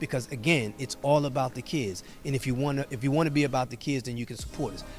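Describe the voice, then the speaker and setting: A man speaks at a very fast pace with a medium pitch and fairly even intonation. Music plays in the background. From US, North Philadelphia. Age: 60s. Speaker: youth organization director. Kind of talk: interview. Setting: on location at a youth club.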